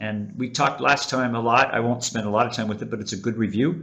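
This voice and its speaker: A man with an American accent talks at a medium pitch. He has an ordinary speaking voice with ordinary pitch variation. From United States. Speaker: webinar presenter on teaching. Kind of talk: webinar presentation. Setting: online webinar.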